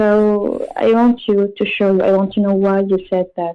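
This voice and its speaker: Speaking at a fairly slow pace, a woman with an Arabic accent uses a medium pitch. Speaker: caller. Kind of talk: religious debate. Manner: halting; gentle. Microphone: slow internet connection.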